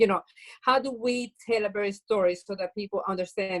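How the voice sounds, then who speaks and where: A woman at a fairly quick pace, ordinary pitch variation, dry, close sound with no echo. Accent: Venezuelan. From Venezuela. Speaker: bakery owner, social entrepreneur. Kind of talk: interview.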